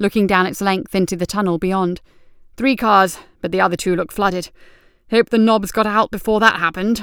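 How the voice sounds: A natural reading voice with fairly even intonation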